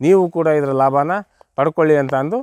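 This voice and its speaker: A man speaks in an ordinary speaking voice, fairly high-pitched, with fairly even intonation. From Davanagere district, Karnataka, India. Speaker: areca nut farmer. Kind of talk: product testimonial.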